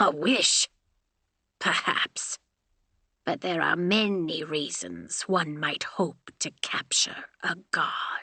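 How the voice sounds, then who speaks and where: Speaking at a very slow pace, a woman puts on a character voice at a medium pitch. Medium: read story. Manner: stern, terse.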